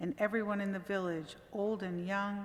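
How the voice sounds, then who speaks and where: A woman's normal speaking voice at a medium pitch, with a fairly slow pace and fairly even intonation. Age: 60s. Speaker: church membership volunteer reading a story. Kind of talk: reading aloud. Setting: church service.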